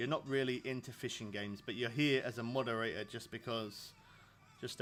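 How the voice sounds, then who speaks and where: Over music in the background, a man with medium pitch talks fairly quickly in a fairly even intonation. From England. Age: 30s. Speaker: video game streamer. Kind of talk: live stream chat. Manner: casual.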